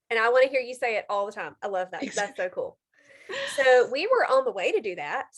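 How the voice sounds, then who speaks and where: With a strong Mississippi Southern accent, a woman talks at a moderate pace with ordinary pitch variation. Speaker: health coach and video host. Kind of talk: casual interview chat. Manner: animated.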